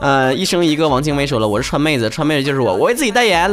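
A man with a Northeastern Chinese accent at a very fast pace, fairly high-pitched and animated, with very wide pitch swings and noticeable background noise. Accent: Northeastern Mandarin. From Northeast China. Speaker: podcast host. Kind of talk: casual solo talk reading listener messages. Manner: animated, joking.

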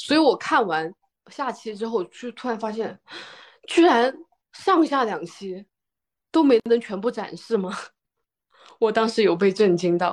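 Fairly high-pitched and animated in tone, a woman speaks at a fairly slow pace with lively intonation and long, frequent pauses. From Jiangsu, China. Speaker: podcast co-host. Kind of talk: casual chat. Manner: animated, laughs often.

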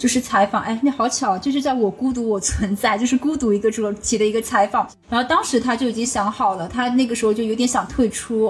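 Speaking at a fairly quick pace, a woman has a high pitch and a strong Shanghai accent. Background noise is noticeable. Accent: strong Shanghai accent (in Cantonese). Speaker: podcast host and ICU doctor. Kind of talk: casual chat.

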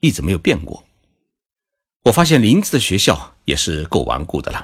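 A man is speaking. His pace is moderate. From China. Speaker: podcast host, Japan commentator. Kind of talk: scripted narration.

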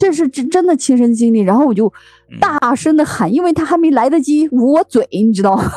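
Her high voice carries lively intonation at a very even loudness, recorded dry and close with no echo. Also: fairly quick pace. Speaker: podcast host. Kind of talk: casual chat.

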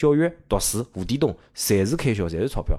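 A fairly quick pace from a man with a medium-pitched voice. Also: very clean recording, silent background. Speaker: teacher. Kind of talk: casual chat.

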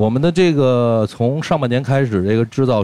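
A man's dark, mellow voice with lively intonation, at a fairly slow pace. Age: 30s. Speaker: rock band guitarist. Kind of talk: casual chat.

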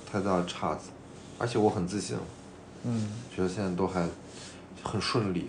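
A man's voice with audible room echo. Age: 20s. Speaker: podcast co-host. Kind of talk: casual chat.

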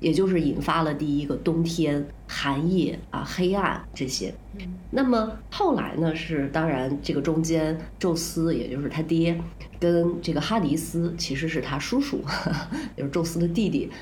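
This woman's pitch is very deep and low, and she talks at a fairly slow pace. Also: ordinary pitch variation. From northern China. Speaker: podcast co-host and counselor. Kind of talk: casual chat.

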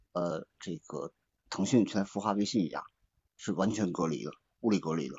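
This man's very deep, low voice carries vocal fry, ordinary pitch variation and a moderate pace. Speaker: audience member joining the talk. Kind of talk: casual chat.

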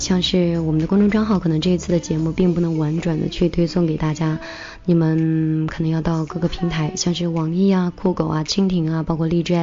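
A woman's fairly low voice with music in the background. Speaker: radio host. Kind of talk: casual radio chat. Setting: studio. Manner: animated, upbeat.

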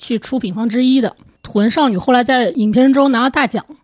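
The recording is very clean with a silent background as a woman talks high in pitch, her pitch varying in an ordinary way. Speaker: film journalist. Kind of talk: casual chat.

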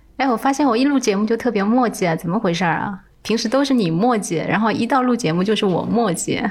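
Over noticeable background noise, a woman with a fairly high pitch talks very fast with hardly any pauses, ordinary pitch variation and very even loudness. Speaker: podcast co-host. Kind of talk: co-hosted podcast, partly scripted talk.

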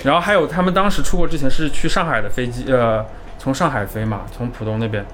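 With a slight Hunan accent, a man talks at a fairly quick pace with ordinary pitch variation, amid audible room echo and noticeable background noise. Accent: slight Hunan-tinged Mandarin. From Jiangxi, China. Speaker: graduate student. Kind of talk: casual chat.

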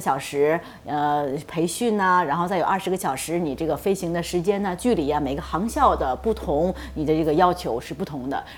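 Speaking at a fairly quick pace, a woman uses lively intonation at a fairly low pitch. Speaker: aviation company executive and pilot. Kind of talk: interview on radio talk show. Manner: hesitant with many fillers.

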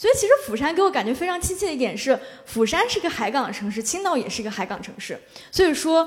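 A woman talks at a very fast pace with very wide pitch swings. There is noticeable background noise. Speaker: social media influencer. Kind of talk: live panel discussion.

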